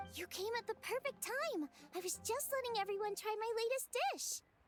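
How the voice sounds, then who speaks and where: A woman in a put-on character voice, upbeat in tone, at a moderate pace. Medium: video game. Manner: bright, upbeat.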